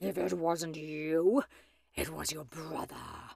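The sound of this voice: A woman's put-on character voice, low-pitched and growling with vocal fry, a slightly husky edge and slightly mellow tone, slow pace and fairly even intonation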